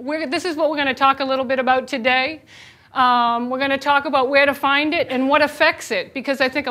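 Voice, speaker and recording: A woman projects her raised, high voice with a bright, sharp tone and a slight Boston accent. She talks at a fairly quick pace. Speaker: chef and nutrition educator. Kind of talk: presentation. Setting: lunch and learn presentation with audience. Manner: casual, lively.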